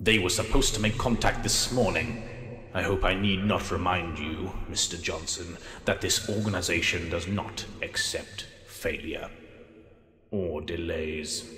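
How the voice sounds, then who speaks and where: At a moderate pace, a man talks in a fairly low pitch, with a slight echo around his voice. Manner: menacing, calm.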